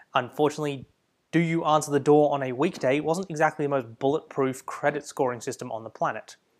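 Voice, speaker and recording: A fairly high-pitched man with an Australian accent, in a very clean recording with a silent background. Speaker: history podcast host. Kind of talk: scripted narration.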